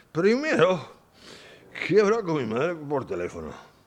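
A man talks at a fairly slow pace with a high pitch. His voice swings very widely in pitch. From Vizcaya, Spain. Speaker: psychiatric care home resident. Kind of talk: radio interview.

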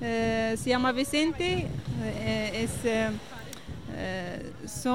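A woman speaks with very even loudness. Noticeable background noise and audible room echo surround her voice. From Morocco. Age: young. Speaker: association member. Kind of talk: interview. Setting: outdoors at the beach. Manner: halting.

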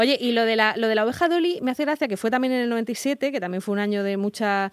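A woman speaks very fast at a fairly high pitch, the recording very clean with a silent background and a dry, close sound with no echo. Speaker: radio host. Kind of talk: casual chat. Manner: halting.

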